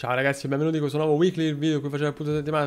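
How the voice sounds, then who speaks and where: In a put-on character voice, a man mumbles at a very fast pace, his pitch fairly high and his intonation monotone and flat. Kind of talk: casual vlog greeting.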